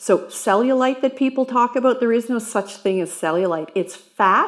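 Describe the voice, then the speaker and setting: Using an ordinary speaking voice, a woman talks at a moderate pace with ordinary pitch variation. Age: 60s. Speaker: personal trainer. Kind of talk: exercise tutorial.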